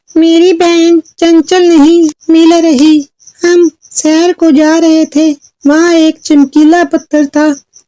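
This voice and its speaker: In a cartoonish character voice, a woman speaks at an extremely high pitch in an anxious tone, monotone and flat, at very even loudness, with a dry, close sound and no echo. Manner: anxious, fretful.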